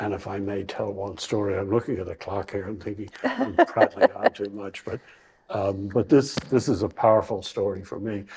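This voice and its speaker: This man talks at a moderate pace. His voice is somewhat breathy, with fairly even intonation. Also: fairly low pitch for a man, big swings in loudness. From Ireland, Bray near Dublin. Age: 70s. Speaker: retirement community resident. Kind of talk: interview. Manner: halting.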